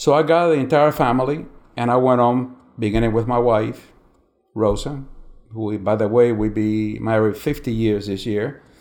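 With a Spanish accent, a man of medium pitch speaks at a moderate pace using ordinary pitch variation. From Cuba. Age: 70s. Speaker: retired insurance agent. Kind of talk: interview.

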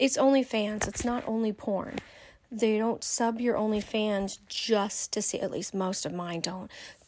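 With a normal speaking voice, a woman talks at a fairly slow pace, fairly high in pitch and with fairly even intonation. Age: 50s. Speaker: adult content creator. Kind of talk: recorded monologue. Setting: self-recorded audio.

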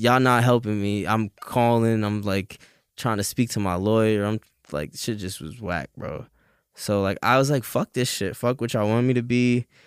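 A man with a New York accent at medium pitch and a moderate pace, ordinary pitch variation, dry, close sound with no echo, and a very clean recording with a silent background. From New York, Staten Island. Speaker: rapper. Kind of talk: casual chat.

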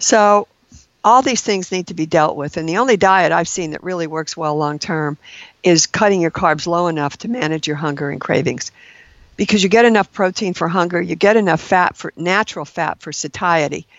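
This woman has a normal speaking voice with a fairly low pitch and ordinary pitch variation. She talks at a fairly quick pace. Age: 60s. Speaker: registered nurse. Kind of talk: interview.

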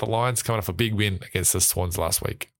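A man speaks at a fairly low pitch with an Australian accent. His pitch varies in an ordinary way. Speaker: podcast host. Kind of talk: casual sports chat.

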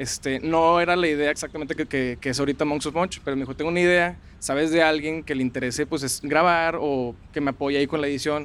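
Talking at a very fast pace, a man with a fairly high voice keeps his intonation fairly even. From Monterrey, Mexico. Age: 20s. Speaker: food content creator. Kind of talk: interview. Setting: outdoors in a park.

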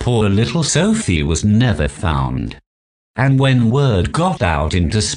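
The speaker does plain reading aloud. The background is quiet.

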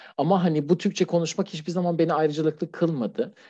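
Against a quiet background, a man with a slight non-native accent speaks in a dark, mellow tone. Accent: near-native Turkish, little foreign. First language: Persian (speaking Turkish). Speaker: LGBT+ refugee, anonymous guest. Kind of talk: interview testimony. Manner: formal; hesitant, many fillers.

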